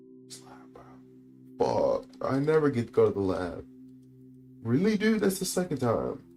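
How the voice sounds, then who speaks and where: Music plays in the background as a man talks at a moderate pace, with big swings in loudness and long, frequent pauses. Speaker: gaming streamer. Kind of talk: casual gameplay commentary.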